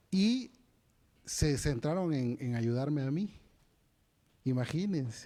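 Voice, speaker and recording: Very slow and broken by long, frequent pauses, a man's voice sits fairly high in pitch, with a dark, mellow tone and lively intonation. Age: 40s. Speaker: conference speaker. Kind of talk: lecture. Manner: halting, many fillers and repetitions.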